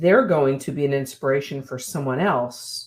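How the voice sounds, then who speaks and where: The woman's voice is very deep and low in pitch. She speaks at a fairly slow pace. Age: 60s. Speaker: women's mentor. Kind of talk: interview.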